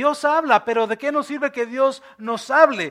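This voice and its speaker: In a raised, projected voice, a man talks with a bright, sharp tone and ordinary pitch variation. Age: 40s. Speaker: pastor. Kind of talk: sermon. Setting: church.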